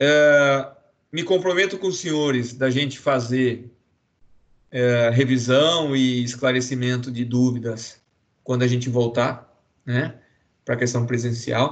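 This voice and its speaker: A man's medium-pitched voice, very slow, with long, frequent pauses and fairly even intonation. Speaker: law professor. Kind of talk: online lecture.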